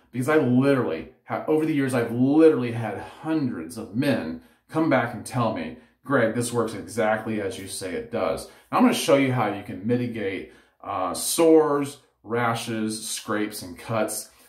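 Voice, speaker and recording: A man speaks at a moderate pace with ordinary pitch variation and big swings in loudness. There is audible room echo, though the background is quiet. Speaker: head shaving vlogger. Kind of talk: tutorial. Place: home room. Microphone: phone near.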